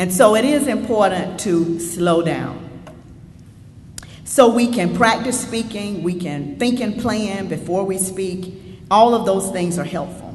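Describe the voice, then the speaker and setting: A woman with a Southern US accent talks at a fairly slow pace, with medium pitch and ordinary pitch variation. Audible room echo and noticeable background noise fill the recording. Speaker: state senator, keynote speaker. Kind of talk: keynote speech. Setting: stage with audience. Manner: assertive.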